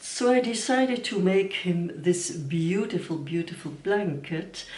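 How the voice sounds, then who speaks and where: Audible room echo surrounds a woman whose fairly low voice moves at a fairly slow pace. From Belgium. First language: Dutch. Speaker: knitting vlogger. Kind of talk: casual vlog talk. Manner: halting.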